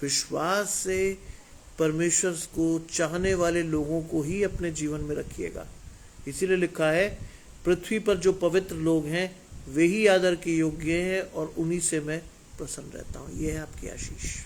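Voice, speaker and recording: A man speaks in a high pitch. His intonation stays flat and monotone. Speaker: preacher. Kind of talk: sermon. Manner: emphatic.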